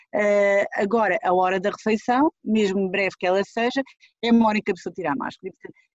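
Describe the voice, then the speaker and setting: A woman talks in an ordinary speaking voice at medium pitch. Her pace is fairly quick. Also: ordinary pitch variation. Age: 50s. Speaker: pediatric infectious disease doctor. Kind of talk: interview.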